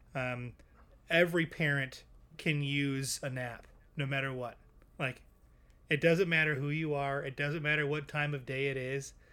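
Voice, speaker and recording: A man's fairly high, bright, sharp voice moves at a moderate pace with monotone, flat intonation and long, frequent pauses, in a very clean recording with a silent background. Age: 20s. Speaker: podcast co-host. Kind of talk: casual interview chat.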